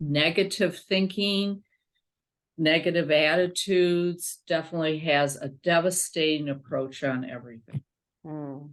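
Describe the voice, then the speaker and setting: A woman's very deep, low pitch, fairly slow in pace, with ordinary pitch variation. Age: 70s. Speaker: functional medicine doctor. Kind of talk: interview answer.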